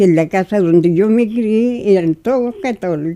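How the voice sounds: At a moderate pace, a woman speaks at a medium pitch in a dark, mellow tone with ordinary pitch variation.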